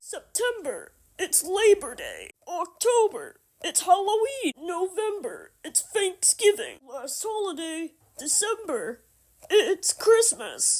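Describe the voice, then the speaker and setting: Here is a cartoonish character voice at an extremely high pitch. The pace is fairly slow. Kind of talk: comedic puppet sketch.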